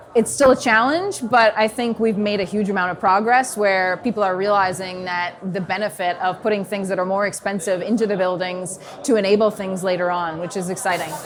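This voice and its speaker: A woman with an American accent talks at a fairly quick pace with hardly any pauses. Noticeable background noise is present. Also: medium pitch for a woman, fairly even intonation. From New York, US. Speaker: consultant. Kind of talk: interview. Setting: at a conference. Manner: hesitant, filler-heavy.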